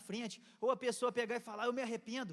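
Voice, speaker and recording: With an animated tone, a man speaks at a very fast pace in an extremely high pitch. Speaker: pastor. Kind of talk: sermon. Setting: church.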